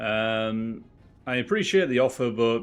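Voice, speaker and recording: Speaking with a Yorkshire accent, a man keeps a medium pitch and fairly even intonation. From northern England, Wakefield. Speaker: game streamer. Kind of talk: casual chat.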